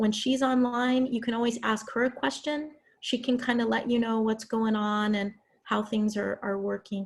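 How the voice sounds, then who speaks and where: At a moderate pace, a woman with a fairly high pitch sounds somewhat breathy, keeping fairly even intonation and very even loudness. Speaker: college English instructor. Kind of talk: online class lecture. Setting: video call.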